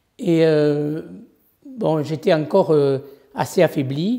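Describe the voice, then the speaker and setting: This woman's voice sits at a very deep, low pitch. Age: 70s. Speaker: patient. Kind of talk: testimony. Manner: halting, many hesitations.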